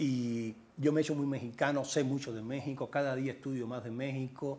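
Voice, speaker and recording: A man talks at a fairly slow pace with a slight Cuban accent. His fairly high voice has a dark, mellow tone. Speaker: journalist and author; journalist. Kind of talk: interview. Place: home room. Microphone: lapel.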